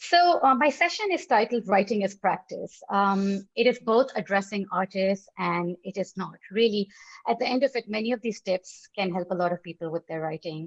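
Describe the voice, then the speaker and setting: A woman's medium-pitched voice with a strong South Asian accent, ordinary pitch variation, hardly any pauses and a dry, close sound with no echo. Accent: strong South Asian (desi) English. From Pakistan, Lahore. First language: not English. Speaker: writer and session leader. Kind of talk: online lecture / talk. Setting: online video session. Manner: mixes reading notes and improvised speech; stumbles and eats words when fast.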